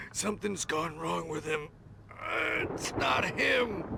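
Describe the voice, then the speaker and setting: Using a put-on character voice, a man speaks in a raspy, fairly high pitch. He goes at a fairly slow pace with clear background noise. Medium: machinima. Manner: stammering, jittery.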